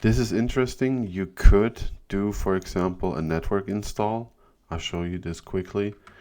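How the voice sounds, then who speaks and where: At a moderate pace, a man speaks with a fairly low pitch, ordinary pitch variation, a dark, mellow tone and big swings in loudness. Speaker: sysadmin tech YouTuber. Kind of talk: screen-recorded tutorial. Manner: casual.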